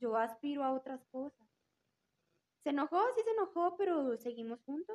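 Using a high pitch with very wide pitch swings, a woman speaks with long, frequent pauses. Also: dry, close sound with no echo. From Aguascalientes, Mexico. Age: 20s. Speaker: rehabilitation therapist. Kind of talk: casual chat.

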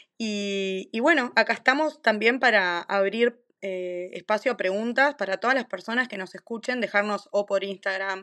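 Against a quiet background, a woman with a Uruguayan accent speaks at a medium pitch in a bright, sharp tone, with ordinary pitch variation. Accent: Rioplatense Spanish (Uruguayan). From Uruguay, Maldonado. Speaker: doula and lactation consultant, podcast co-host. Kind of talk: casual chat.

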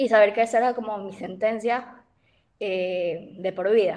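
Her voice is fairly high-pitched, and this woman uses ordinary pitch variation. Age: 20s. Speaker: university student with type 1 diabetes. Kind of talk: casual chat.

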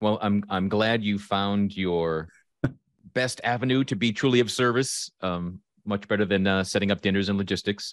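Recorded very cleanly against a silent background, a man with an unremarkable speaking voice talks at a moderate pace and a fairly low pitch, his intonation fairly even. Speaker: podcast host and life coach. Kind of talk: casual interview chat.

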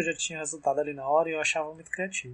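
A man speaks at a fairly high pitch. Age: 20s. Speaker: podcast host. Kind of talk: casual chat.

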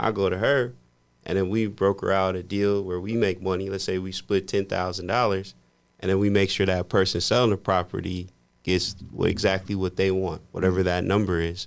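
A man with an American accent speaks at a moderate pace in a very deep, low voice and a flat monotone, recorded very cleanly against a silent background. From US Midwest, Indiana. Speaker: podcast host and mortgage professional. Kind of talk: casual chat.

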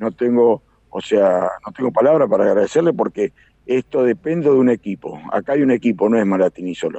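At a fairly quick pace, a man talks with an Argentine accent. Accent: Rioplatense Argentine Spanish. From Argentina, Buenos Aires province (Carlos Casares). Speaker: aerobatic pilot. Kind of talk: live radio interview. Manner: halting, with many fillers and repetitions.

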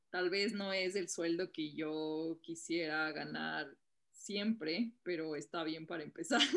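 A woman's fairly low voice, very slow in pace, with fairly even intonation. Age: 20s. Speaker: entrepreneur. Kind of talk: interview.

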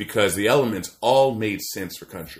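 A man with an American accent and a plain, everyday voice speaks at a moderate pace with a fairly low pitch and lively intonation in a very clean recording with a silent background. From Maryland, US. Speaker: podcast co-host. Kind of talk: casual chat.

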